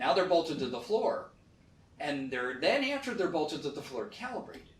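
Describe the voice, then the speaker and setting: Background noise is noticeable throughout as a man talks fairly quickly. His pitch jumps across a very wide range. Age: 60s. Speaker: real estate fund manager. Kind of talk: interview. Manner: animated.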